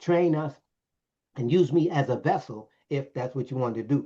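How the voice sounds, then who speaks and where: Against a quiet background, a man with an American accent speaks at a fairly quick pace, his fairly high pitch showing ordinary variation in a dark, mellow, somewhat breathy tone. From Brooklyn, New York. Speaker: director of a training center, engineer, Bible teacher. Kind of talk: interview answer, personal testimony. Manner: animated, casual.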